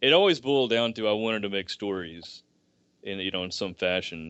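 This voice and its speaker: A man with a Southern US accent talks at a fairly quick pace. His fairly low voice has lively intonation. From US South, rural deep Southeast. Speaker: writer. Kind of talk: podcast interview. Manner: halting, many fillers and restarts.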